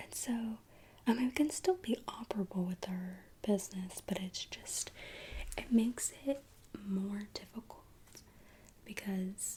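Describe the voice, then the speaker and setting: Whispering and soft-spoken, a woman talks at a fairly slow pace with long, frequent pauses. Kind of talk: ASMR roleplay, tailor taking body measurements. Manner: soft-spoken, whispering.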